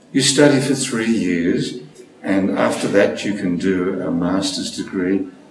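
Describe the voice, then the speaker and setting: A man with a fairly low voice speaks very slowly, his pitch varying in an ordinary way. Noticeable background noise and audible room echo surround him. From Australia, Sydney. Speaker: speech pathologist and stuttering researcher. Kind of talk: interview.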